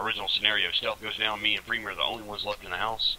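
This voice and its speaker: Noticeable background noise sits behind a man speaking with a Southern US accent. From US South. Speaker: gamer leading military-style training. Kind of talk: casual tactical discussion.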